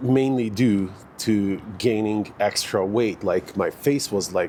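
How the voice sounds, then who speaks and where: A man is speaking. He has a Hungarian accent. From Hungary. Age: 40s. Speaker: fitness vlogger. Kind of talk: casual vlog monologue. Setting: outdoors in a park. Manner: hesitant, many fillers.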